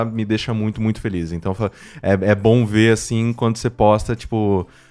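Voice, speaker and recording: Speaking at a moderate pace, a man with a plain, everyday voice keeps his intonation fairly even at a fairly low pitch. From Mococa, São Paulo state, Brazil. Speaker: podcast producer and podcaster. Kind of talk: casual chat. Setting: remote call.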